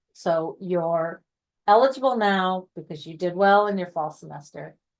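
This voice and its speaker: With a quiet background behind her, a woman talks in a normal speaking voice, fairly low-pitched, at a moderate pace with ordinary pitch variation. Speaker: honor society staff presenter. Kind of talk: online info session presentation.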